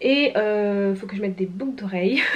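This woman has an ordinary speaking voice, medium in pitch, speaking at a fairly slow pace with fairly even intonation. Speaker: vlogger and student; vlogger. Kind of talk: casual vlog talk. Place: home room.

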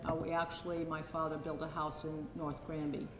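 Noticeable background noise accompanies a woman speaking. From Sydney, Australia. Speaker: show host and daughter of the featured artist; presenter. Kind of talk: gallery talk to a live audience. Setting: museum exhibit opening with audience. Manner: halting. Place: hall. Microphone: handheld.

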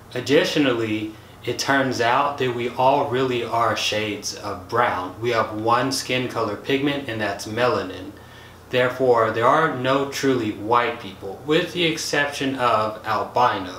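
A man talks with an American accent and ordinary pitch variation. Audible room echo and light background noise surround him. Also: fairly slow pace. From United States. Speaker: science YouTuber. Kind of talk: educational video monologue. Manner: casual, conversational. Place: home room.

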